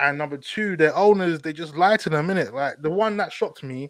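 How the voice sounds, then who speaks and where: Lively intonation moves along at a moderate pace, and the sound is dry and close with no echo. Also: man. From East London. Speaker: football podcast host. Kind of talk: casual chat. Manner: animated.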